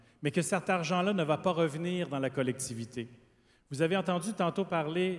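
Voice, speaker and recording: A man in a Quebec accent, moderate pace and fairly even intonation. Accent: Québécois. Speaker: panelist, former party leader. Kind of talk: panel discussion.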